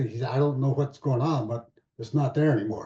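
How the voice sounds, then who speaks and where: Fairly even intonation in a somewhat breathy male voice. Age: 80s+. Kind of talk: panel Q&A answer. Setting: video call. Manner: halting.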